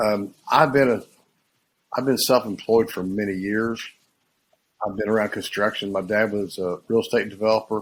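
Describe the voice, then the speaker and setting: Speaking at a moderate pace, a man uses a fairly low pitch and fairly even intonation. He leaves long, frequent pauses. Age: 60s. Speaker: painting subcontractor. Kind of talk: interview.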